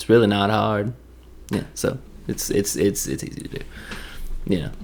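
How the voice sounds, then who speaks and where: In a Tennessee accent, the speaker moves at a moderate pace with vocal fry and ordinary pitch variation. Loudness swings widely. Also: man, fairly low pitch for a man. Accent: Southern US, Tennessee. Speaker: commentator retelling a movie plot. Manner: casual, joking storyteller.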